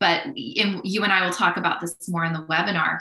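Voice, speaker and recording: A woman's fairly low-pitched voice, an ordinary speaking voice, with fairly even intonation. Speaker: criminology professor and researcher. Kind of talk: casual interview conversation. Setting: online video call.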